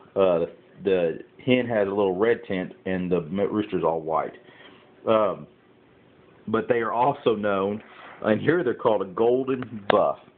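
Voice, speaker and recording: A Southern US accent at a fairly slow pace with ordinary pitch variation. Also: man. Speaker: backyard chicken keeper. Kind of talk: casual vlog. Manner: hesitant with many fillers.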